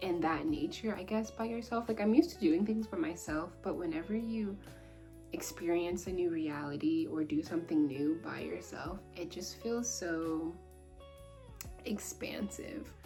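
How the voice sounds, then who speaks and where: A woman keeps a moderate tempo with music going in the background. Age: 20s. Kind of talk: casual talk to camera.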